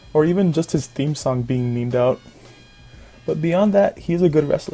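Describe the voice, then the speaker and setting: A man with a fairly high pitch speaks at a moderate pace with ordinary pitch variation over music in the background. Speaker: youtuber. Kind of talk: casual talk to camera.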